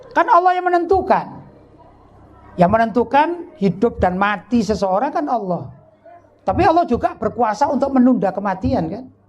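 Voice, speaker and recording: Over noticeable background noise, a man with an extremely high pitch and very wide pitch swings speaks at a moderate pace with long, frequent pauses. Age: 50s. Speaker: Islamic preacher. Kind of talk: sermon. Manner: conversational, engaging audience.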